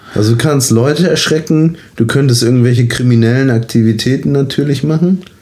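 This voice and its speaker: A man talking at a fairly quick pace with hardly any pauses and very even loudness, over noticeable background noise. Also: medium pitch for a man, ordinary pitch variation. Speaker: actor and podcast co-host. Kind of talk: casual chat.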